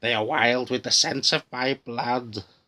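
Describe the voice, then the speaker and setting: Using a put-on character voice at medium pitch, a man speaks at a fairly slow pace, with hissing in the audio. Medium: read story. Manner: deceptive, switching from pleading to hissing threats.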